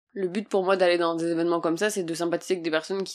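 Over a silent background on a very clean recording, a woman's words come out very fast. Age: 20s. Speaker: podcaster and new entrepreneur. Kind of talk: casual solo podcast monologue. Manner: animated.

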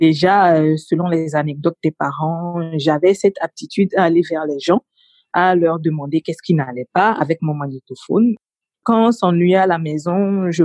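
A woman speaks at a fairly slow pace in a fairly low pitch, with a dark, mellow tone. The sound is dry and close with no echo, and her pitch varies in an ordinary way. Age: 30s. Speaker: communications officer. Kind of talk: interview.

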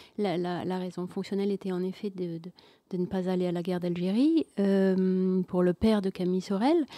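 Her intonation fairly even and her tone dark and mellow, a woman is heard in a very clean recording with a silent background and a dry, close sound with no echo. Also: medium pitch for a woman, moderate pace. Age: 60s. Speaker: first-time novelist. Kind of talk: radio interview. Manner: halting, many repeated words.

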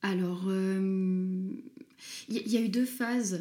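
A dark, mellow tone from a woman at medium pitch. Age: 20s. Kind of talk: interview. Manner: hesitant.

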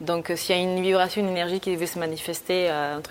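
Very fast and monotone, a woman with a fairly low pitch speaks over noticeable background noise. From Bolivia (Santa Cruz), moved to France at 11. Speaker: art student and painter. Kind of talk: casual interview. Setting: art studio.

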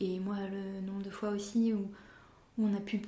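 A woman speaks at a medium pitch in a monotone, flat intonation, with audible room echo around her. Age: 30s. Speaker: wood turner and cabinetmaker. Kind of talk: interview. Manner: halting.

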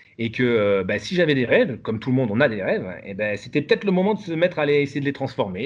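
Lively intonation from a man at a medium pitch. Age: 40s. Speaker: salaried employee developing a side project. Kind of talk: interview conversation. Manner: hesitant, many fillers.

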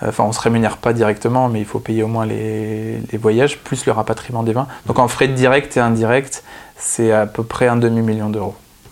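A man of medium pitch holds a monotone, flat intonation while talking at a moderate pace. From northern France (Picardy). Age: 30s. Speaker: wine author and explorer. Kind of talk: interview. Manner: hesitant, with many fillers.

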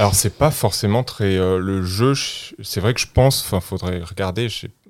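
With ordinary pitch variation, a man talks in a fairly low pitch. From France. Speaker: political science professor. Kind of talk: interview. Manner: halting.

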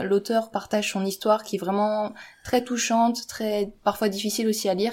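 This is a woman speaking at medium pitch. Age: 20s. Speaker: engineering student and YouTuber. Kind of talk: casual chat.

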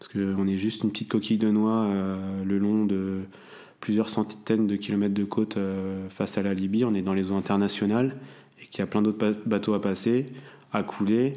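A man's fairly low voice at a moderate pace, monotone and flat in intonation, with a dark, mellow tone. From Brittany, France (near Saint-Malo). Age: 20s. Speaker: merchant navy officer. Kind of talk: personal testimony interview. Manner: hesitant, many fillers.

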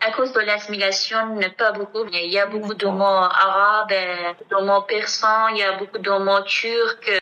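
With a Kurdish accent, a woman speaks fairly slowly at a medium pitch, her intonation monotone and flat, with hardly any pauses. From Iranian Kurdistan, Kermanshah. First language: Kurdish (speaking French). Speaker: singer. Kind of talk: interview testimony. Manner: halting.

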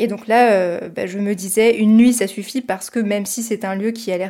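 Speaking at a fairly quick pace, a woman of medium pitch has a dark, mellow tone and monotone, flat intonation. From France, Paris region (near Versailles). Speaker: podcast host. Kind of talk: casual discussion.

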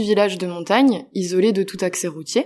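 A woman's medium-pitched voice at a moderate pace with ordinary pitch variation. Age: 20s. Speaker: international volunteer, project coordinator. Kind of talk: interview. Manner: hesitant, many fillers.

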